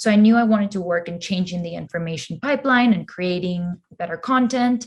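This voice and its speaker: Over a quiet background, a woman with a Spanish accent talks at a fairly quick pace. Her medium-pitched voice is somewhat breathy, with ordinary pitch variation. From Peru, moved to US at eleven. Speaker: crypto community co-founder, marketer. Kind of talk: podcast interview.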